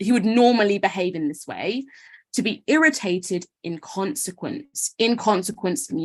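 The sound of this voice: In an unforced reading voice with ordinary pitch variation, the speaker is heard over a quiet background.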